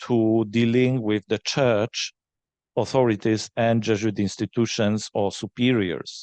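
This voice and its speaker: Against a quiet background, a man with a Polish accent speaks at medium pitch and a fairly slow pace, with fairly even intonation, very even loudness and a dry, close sound with no echo. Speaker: forum moderator. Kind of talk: panel Q&A. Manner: halting.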